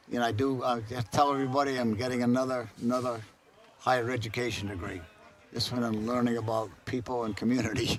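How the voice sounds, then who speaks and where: Amid noticeable background noise and audible room echo, a man rattles along at a very fast pace with fairly even intonation. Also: medium pitch for a man. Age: 80s+. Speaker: college athletics supporter, golfer. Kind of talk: casual interview. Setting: outdoors at golf event.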